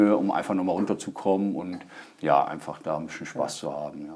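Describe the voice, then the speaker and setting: A man's voice with a dark, mellow tone. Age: 30s. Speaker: stand-up paddling instructor and hobby racer. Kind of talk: podcast interview. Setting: studio. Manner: hesitant, many fillers.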